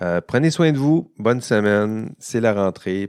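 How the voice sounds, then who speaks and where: Speaking at a very slow pace with an ordinary amount of pitch variation, a man with a Quebec accent is captured in a very clean, dry, close recording with a silent background and no echo. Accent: Québécois. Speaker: university professor. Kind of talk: educational podcast monologue. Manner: casual with many hesitations.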